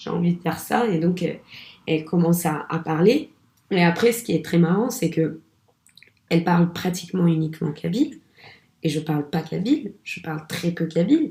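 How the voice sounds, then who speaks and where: With long, frequent pauses, a woman speaks at a moderate pace in a fairly low, somewhat breathy voice of dark, mellow tone and ordinary pitch variation. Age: 20s. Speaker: actress. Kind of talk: casual interview. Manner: hesitant, many fillers.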